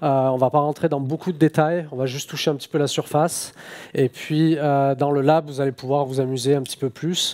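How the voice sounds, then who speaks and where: A man with a fairly high pitch, flat monotone intonation and a moderate pace. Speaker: software engineer, conference speaker. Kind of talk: conference talk. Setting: stage with audience. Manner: hesitant, many filler sounds.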